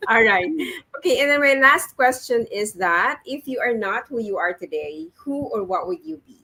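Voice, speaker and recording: Speaking in a Filipino accent at a moderate pace, a woman with a fairly high pitch and a bright, sharp tone uses very wide pitch swings and big swings in loudness. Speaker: talk show host. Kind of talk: interview.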